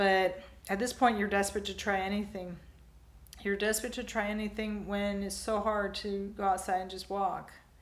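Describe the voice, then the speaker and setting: Monotone, flat intonation at a moderate pace, with audible room echo. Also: woman, medium pitch for a woman. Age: 60s. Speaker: vlogger. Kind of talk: personal vlog monologue.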